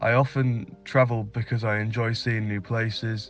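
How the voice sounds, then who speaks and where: Music plays behind a man speaking with a British accent. His medium-pitched delivery is monotone and flat. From Northeast England. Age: 20s. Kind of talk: scripted self-introduction read for English learners.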